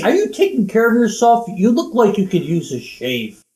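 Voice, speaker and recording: A put-on character voice, fairly high in pitch, at a moderate pace. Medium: comedy sketch. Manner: earnest, unmanly when channeling.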